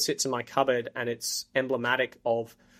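A man with an Australian accent, medium in pitch, with monotone, flat intonation. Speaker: marketing executive. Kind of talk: interview.

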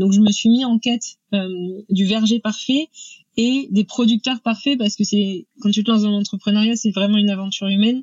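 Her voice is fairly high and somewhat breathy. The woman talks fairly quickly with ordinary pitch variation. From Normandy, France. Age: 30s. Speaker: entrepreneur, food brand founder. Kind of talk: podcast interview. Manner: hesitant, many fillers.

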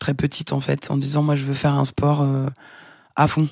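At a moderate pace, a woman speaks with a very deep, low pitch and monotone, flat intonation against a quiet background. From Paris suburbs, France. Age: 40s. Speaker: professional dancer. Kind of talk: casual interview.

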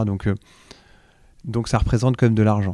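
A man speaks in a dark, mellow tone. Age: 40s. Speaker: startup co-founder in second-hand clothing. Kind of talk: interview. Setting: trade show.

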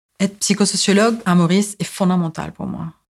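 A woman's medium-pitched, somewhat breathy voice at a moderate pace, with fairly even intonation. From Mauritius. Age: 40s. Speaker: psychosociologist and rights advocate. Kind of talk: personal testimony. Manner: halting, frequent hesitations.

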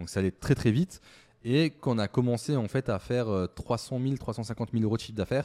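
On a very clean recording with a silent background and a dry, close sound with no echo, a man speaks at a moderate pace in a dark, mellow tone with medium pitch and ordinary pitch variation. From eastern France, Moselle mining area. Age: 30s. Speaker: startup founder. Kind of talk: interview.

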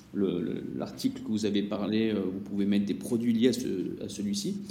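A man's pitch moves in an ordinary way. The room echo around him is audible. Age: 40s. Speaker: e-commerce agency CEO. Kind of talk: casual interview chat.

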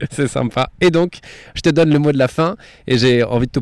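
A man with ordinary pitch variation in a very clean recording with a silent background. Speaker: podcaster interviewing the host. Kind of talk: interview questions. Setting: outdoors in a garden. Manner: raised voice to cover surrounding sounds.

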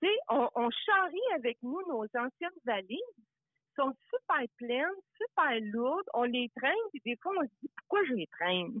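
Speech moves at a fairly slow pace. Its pitch rises and falls very widely. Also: woman, high pitch for a woman. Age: 60s. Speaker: life coach. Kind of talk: interview.

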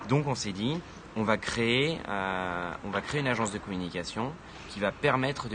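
This man speaks at a fairly low pitch. Noticeable background noise runs behind him. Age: 20s. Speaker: founder of a social impact media outlet. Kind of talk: interview. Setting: live video stream with audience in the room. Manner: halting, many repetitions and fillers.

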